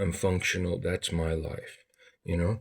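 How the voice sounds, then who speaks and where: In a very clean recording with a silent background, a man speaks with a South African accent. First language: Afrikaans. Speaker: vlogger. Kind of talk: monologue to camera.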